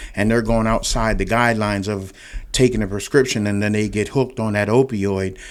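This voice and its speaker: The speaker has a central Pennsylvania accent and a monotone, flat delivery. The pace is fairly quick. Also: man, fairly low pitch for a man. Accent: central Pennsylvania American. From Pennsylvania, Williamsport. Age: 60s. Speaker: retired drug and alcohol counselor. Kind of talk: interview. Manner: halting.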